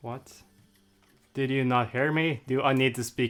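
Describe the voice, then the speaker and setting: Noticeable background noise accompanies a speaker with a non-native accent. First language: not English. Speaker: livestreamer. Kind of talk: casual chat. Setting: live stream. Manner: halting.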